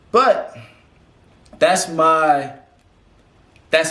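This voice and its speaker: Very wide pitch swings from a man, with audible room echo. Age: 20s. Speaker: vlogger. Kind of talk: casual monologue. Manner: animated.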